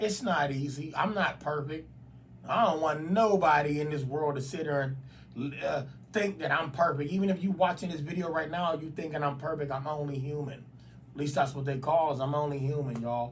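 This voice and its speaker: This man's voice sits fairly high in pitch, with ordinary variation. He talks at a fairly quick pace, and the room echo is audible. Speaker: YouTuber. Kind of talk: casual vlog monologue. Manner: halting.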